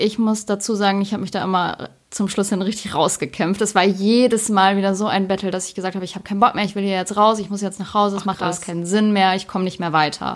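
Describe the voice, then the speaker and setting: A woman at a medium pitch, very fast and monotone with flat intonation, on a very clean recording with a silent background. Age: 20s. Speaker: ice cream maker, former psychiatric patient. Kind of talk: casual chat.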